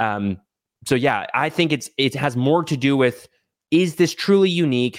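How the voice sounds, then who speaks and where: With an American accent and an unremarkable speaking voice, a man talks at a moderate pace with a fairly high pitch and lively intonation, on a very clean recording with a silent background. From Texas. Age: 20s. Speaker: short-term rental entrepreneur. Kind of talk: casual interview.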